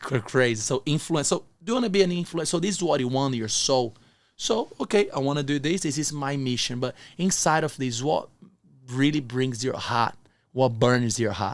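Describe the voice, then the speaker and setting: Talking with a non-native accent, a man speaks at a fairly quick pace. His pitch is fairly high, and his intonation is lively. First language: not English. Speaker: entrepreneur and motivational speaker. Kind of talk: interview conversation.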